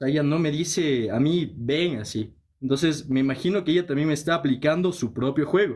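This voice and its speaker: Fairly quick speech from a man with a Quito accent, fairly high in pitch with ordinary pitch variation, against a quiet background. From Ecuador, Quito; Ecuador. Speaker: caller. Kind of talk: casual chat. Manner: hesitant, many fillers. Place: home room. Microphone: phone near.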